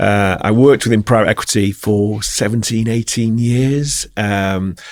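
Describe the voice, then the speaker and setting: In a Yorkshire accent, a man speaks fairly slowly at a fairly low pitch with fairly even intonation. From Yorkshire, Bradford. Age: 40s. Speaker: company founder and CEO. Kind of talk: podcast interview.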